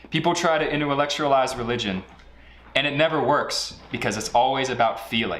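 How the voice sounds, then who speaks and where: This man talks at a medium pitch and moderate pace with ordinary pitch variation. Noticeable background noise and audible room echo come through. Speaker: online group presenter. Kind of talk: mock sermon.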